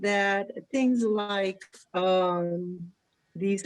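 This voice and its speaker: A woman with fairly even intonation. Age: 60s. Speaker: physician. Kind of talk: panel discussion. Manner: halting.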